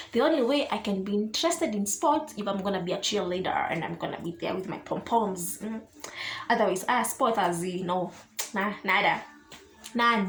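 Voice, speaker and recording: Noticeable background noise sits behind lively intonation delivered at a moderate pace. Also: woman, medium pitch for a woman. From Kenya, Kiambu County. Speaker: YouTuber. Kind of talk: casual Q&A vlog. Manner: code-switching English and Swahili.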